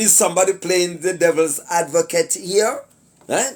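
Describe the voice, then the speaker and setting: Using very wide pitch swings, a man talks in a Jamaican accent. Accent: Jamaican English with patois. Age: 60s. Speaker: commentator / vlogger. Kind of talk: casual monologue commentary. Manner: hesitant, many fillers.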